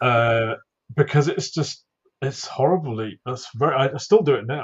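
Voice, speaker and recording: A man's somewhat breathy, mumbling voice, fairly high in pitch, at a moderate pace with ordinary pitch variation. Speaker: YouTube content creator. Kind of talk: casual podcast interview. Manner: mumbles, lots of ums and ahs.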